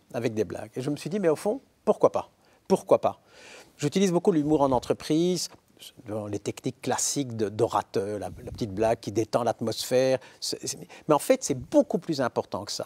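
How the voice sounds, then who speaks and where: With very wide pitch swings and long, frequent pauses, a man talks at a moderate pace in a fairly high yet dark, mellow voice. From Belgium. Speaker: philosopher and professor; professor. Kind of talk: interview. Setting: studio. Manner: hesitant with repetitions. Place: studio. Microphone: lapel.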